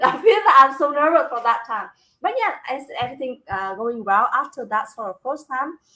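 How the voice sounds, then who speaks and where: A woman's raised, projected voice with a Vietnamese accent, high pitch, bright, sharp tone, big swings in loudness and a moderate pace. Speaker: business talk show host, construction manager. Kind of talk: casual live-stream interview chat. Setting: live video stream. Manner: halting, with repeated words and fillers.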